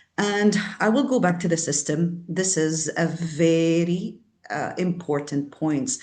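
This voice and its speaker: At a fairly slow pace, a woman with a non-native accent speaks with a fairly low pitch and ordinary pitch variation. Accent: foreign. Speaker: service provider. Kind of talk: panel discussion.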